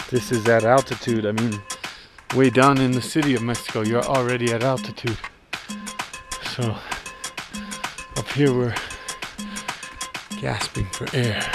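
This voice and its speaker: Over clear music in the background, a man talks at a moderate pace with long, frequent pauses, in a dry sound with no echo. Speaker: traveling musician vlogger. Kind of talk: casual vlog chat. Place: open country. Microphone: phone near.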